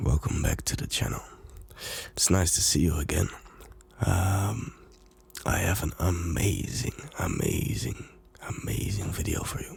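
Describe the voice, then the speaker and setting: A soft-spoken man with a very deep, low pitch talks at a fairly slow pace with long, frequent pauses. His intonation is lively. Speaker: music producer and DJ. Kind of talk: ASMR talk to camera.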